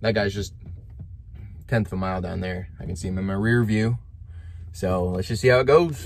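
With light background noise, a man with fairly low pitch speaks at a fairly quick pace in a somewhat breathy voice with ordinary pitch variation. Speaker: truck driver vlogger. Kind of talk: casual vlog chat. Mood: slightly worried about timing. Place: car. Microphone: phone near.

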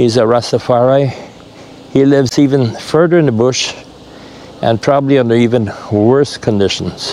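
Amid light background noise, a man talks with very even loudness, ordinary pitch variation and long, frequent pauses, in a dry sound with no echo. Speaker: travel vlogger. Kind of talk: casual chat; casual vlog chat. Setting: outdoors. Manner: fast. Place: open country. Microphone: lapel.

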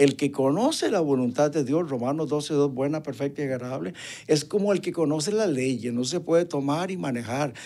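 A man speaks in a dark, mellow tone at a fairly high pitch. The recording is very clean, with a silent background. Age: 70s. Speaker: retired trumpet player and evangelist musician. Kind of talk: interview testimony.

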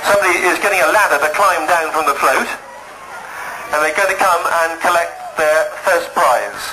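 Over noticeable background noise, the speaker goes at a moderate pace with fairly even intonation, stopping often for long pauses. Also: man. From England. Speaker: carnival announcer. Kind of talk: live public-address commentary at a carnival, giving out prizes and rallying children. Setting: outdoors at a carnival, over a PA system. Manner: brisk, chatty, encouraging, and improvised. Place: open country. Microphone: old recording.

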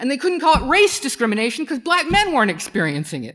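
The background is quiet as a woman speaks. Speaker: keynote speaker. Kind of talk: lecture. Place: stage.

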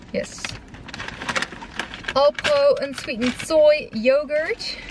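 A woman at a very slow pace and high pitch, with dry sound with no echo and noticeable background noise. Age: 20s. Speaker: student. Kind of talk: casual vlog talk to camera. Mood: cheerful, relaxed.

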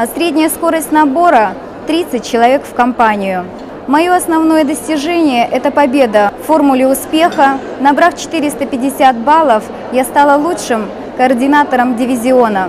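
Speaking at a very slow pace with long, frequent pauses, a woman uses a high voice over noticeable background noise. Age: 30s. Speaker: direct sales coordinator. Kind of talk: recorded testimonial. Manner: formal. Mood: proud, upbeat. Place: hall. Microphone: lapel.

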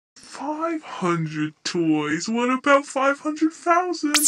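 A female-sounding, high-pitched put-on character voice. It speaks at a fairly slow pace. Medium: machinima. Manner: curt, impatient.

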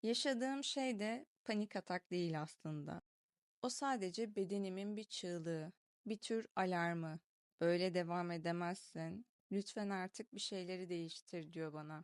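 An unremarkable speaking voice at a fairly slow pace with ordinary pitch variation, dry, close sound with no echo and a quiet background. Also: woman, medium pitch for a woman. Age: 20s. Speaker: video diary vlogger. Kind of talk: reading aloud a personal diary.

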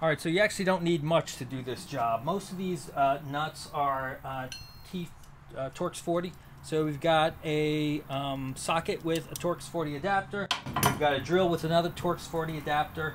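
A man talks at a moderate pace with fairly even intonation. Light background noise is present. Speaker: van build vlogger. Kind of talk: tutorial. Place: street. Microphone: camera far.

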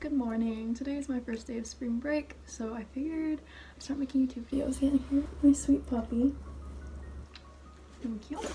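Over light background noise, a woman with a high voice keeps her intonation fairly even and takes long, frequent pauses. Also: moderate pace. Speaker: vlogger. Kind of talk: casual vlog talk to camera. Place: home room. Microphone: phone near.

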